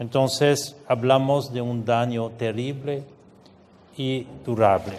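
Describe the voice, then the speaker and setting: Audible room echo surrounds a man at medium pitch who talks very slowly with fairly even intonation. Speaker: UN refugee agency official. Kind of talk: conference speech. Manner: halting, with fillers and repetitions.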